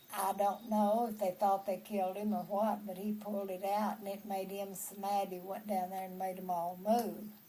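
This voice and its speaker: A woman with a Texan accent speaks in a monotone with flat intonation. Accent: Texan Southern American. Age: 80s+. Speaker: storyteller. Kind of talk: family history storytelling.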